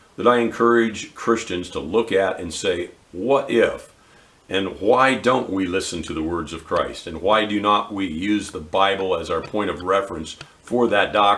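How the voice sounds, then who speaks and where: At a moderate pace, a man with a fairly low pitch and ordinary pitch variation speaks in an unremarkable speaking voice. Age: 60s. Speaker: Bible teacher. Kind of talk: bible teaching.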